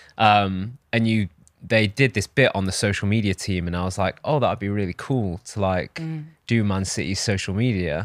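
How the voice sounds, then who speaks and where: Male voice, fairly low in pitch, at a moderate pace with ordinary pitch variation, in a dry, close, echo-free, very clean recording with a silent background. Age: 30s. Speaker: personal branding agency founder. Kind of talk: podcast interview. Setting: studio.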